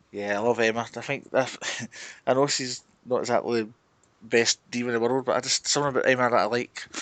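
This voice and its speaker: The speech comes very fast in a flat, monotone delivery. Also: man, medium pitch for a man. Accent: Glaswegian. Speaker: wrestling podcast co-host.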